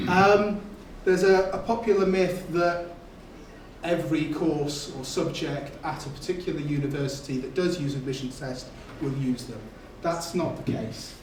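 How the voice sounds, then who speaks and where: A high-pitched man with a North Wales accent speaks at a moderate pace with ordinary pitch variation. Noticeable background noise and audible room echo fill the recording. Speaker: admissions test specialist presenting a seminar. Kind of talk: seminar talk to students. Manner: hesitant with frequent fillers.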